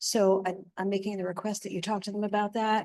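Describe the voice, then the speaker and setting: This is a woman's voice. Her pitch is fairly high. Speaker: resident making public comment. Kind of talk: public comment at meeting. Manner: soft-spoken.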